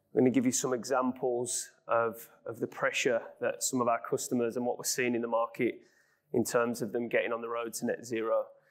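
Over a quiet background, a man speaks at a fairly quick pace with a Brummie accent. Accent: Brummie (Birmingham English). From West Midlands, England (Birmingham). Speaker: business director, energy consultancy. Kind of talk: business presentation. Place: studio. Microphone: lapel.

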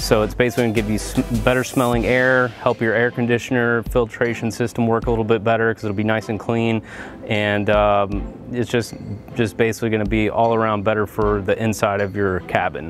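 A man's monotone, flat delivery at a fairly quick pace, dry with no echo, over faint music in the background. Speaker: DIY car maintenance host. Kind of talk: tutorial. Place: open country. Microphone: lapel.

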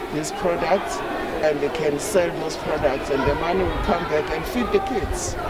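A woman speaks at a moderate pace. Crowd noise can be heard behind her. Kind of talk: interview answer. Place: street. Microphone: handheld.

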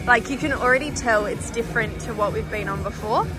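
With clear music in the background, a woman speaks at a fairly quick pace and a fairly high pitch, her pitch varying in an ordinary way.

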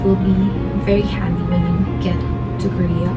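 Clear music plays behind a woman speaking at a moderate pace with ordinary pitch variation. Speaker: travel vlogger. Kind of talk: tutorial. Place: home room.

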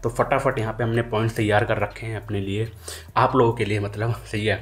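A man speaks with vocal fry at a fairly low pitch. His pace is moderate. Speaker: hotel management career vlogger. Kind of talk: casual vlog chat. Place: home room. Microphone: phone near.

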